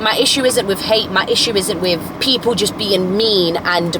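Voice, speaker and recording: A woman at medium pitch with ordinary pitch variation over noticeable background noise. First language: not English. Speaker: lifestyle content creator. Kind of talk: casual vlog monologue. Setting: in a car. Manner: rambling, self-correcting.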